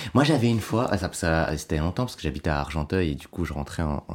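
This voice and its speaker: Over noticeable background noise, a man with very deep, low pitch speaks at a fairly quick pace with lively intonation. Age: 20s. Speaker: stand-up comedian. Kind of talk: casual chat.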